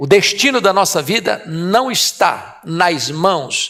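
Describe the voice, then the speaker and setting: A man's high-pitched voice with a bright, sharp tone in a very clean recording with a silent background. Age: 60s. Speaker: preacher. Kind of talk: sermon.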